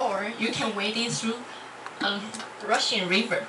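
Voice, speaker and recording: With a Chinese accent, a woman speaks at a moderate pace in a fairly high voice amid noticeable background noise. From Taiwan. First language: Mandarin Chinese. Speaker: university student. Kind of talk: club speech. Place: classroom.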